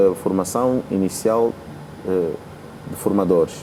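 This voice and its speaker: Noticeable background noise behind a fairly low male voice, its pitch varying in an ordinary way. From Angola. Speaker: rapper. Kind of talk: interview.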